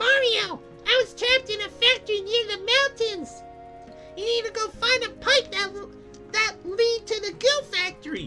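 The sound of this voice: A squeaky, put-on character voice at an extremely high pitch moves at a moderate pace over clear background music.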